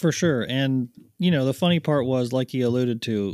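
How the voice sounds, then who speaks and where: A man with an ordinary speaking voice talks at a moderate pace with ordinary pitch variation. The sound is dry and close with no echo, on a very clean recording with a silent background. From Canada, Ottawa area. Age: 40s. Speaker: golf glove company co-founder, former pro golfer. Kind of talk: casual chat.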